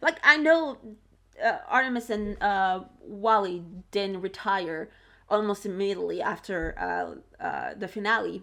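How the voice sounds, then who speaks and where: A woman speaks at a fairly slow pace against a quiet background. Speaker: video reaction creator. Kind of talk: casual video commentary. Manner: halting, many fillers and restarts.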